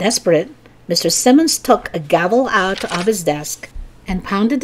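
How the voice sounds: This natural reading voice carries lively intonation.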